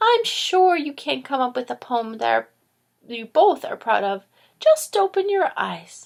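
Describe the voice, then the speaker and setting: A woman's high-pitched, put-on character voice, warm and gentle in tone, at a moderate pace. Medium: read story. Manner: warm, gentle.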